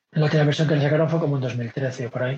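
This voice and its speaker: A man speaks with a fairly high pitch, a somewhat breathy voice, a dark, mellow tone and fairly even intonation. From Galicia, Spain (Vigo). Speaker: podcast host and community organizer. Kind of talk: casual chat. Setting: video call.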